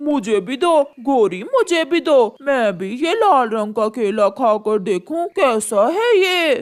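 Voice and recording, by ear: This is a cartoonish character voice with a high pitch. It moves at a fairly slow pace with hardly any pauses.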